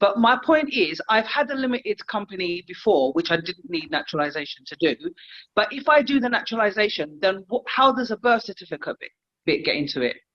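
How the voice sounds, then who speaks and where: A woman with a London accent talks at a fairly quick pace, her pitch fairly high. Her pitch swings very widely and her loudness jumps in big swings. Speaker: caller. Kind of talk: casual Q&A. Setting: video call.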